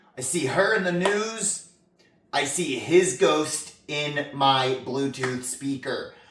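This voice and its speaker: The speech unfolds at a very slow pace amid noticeable background noise. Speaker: comedy interview host. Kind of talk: comedic scripted interview. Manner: halting, many fillers.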